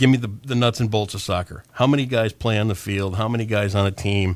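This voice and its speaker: This speaker has a Midwestern American accent and a fairly even intonation. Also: man. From Michigan, Sparta area. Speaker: radio host. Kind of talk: casual chat.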